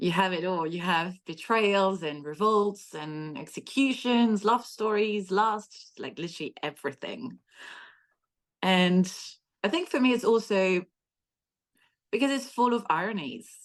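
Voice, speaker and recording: Lively intonation in a French accent, fairly slow, with long, frequent pauses. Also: woman, medium pitch for a woman. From France. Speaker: history author. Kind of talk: podcast interview.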